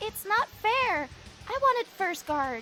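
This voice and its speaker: Clear background noise sits behind a put-on character voice with an extremely high pitch. The pace is fairly slow. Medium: video game. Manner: timid, deferential.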